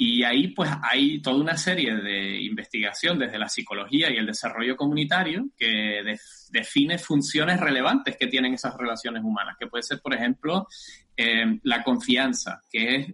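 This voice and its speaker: A man speaks with a Canarian accent at a medium pitch. His intonation is lively and his pace is moderate. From Canary Islands, rural north of Tenerife. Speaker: rural development researcher. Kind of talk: interview. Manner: halting, many fillers.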